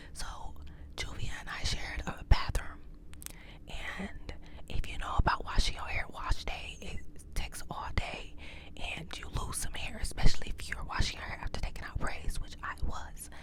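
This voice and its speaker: Whispering at a moderate pace, a woman pauses long and often, her loudness swinging widely over noticeable background noise. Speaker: ASMR creator. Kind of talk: ASMR story time, casual talk to camera.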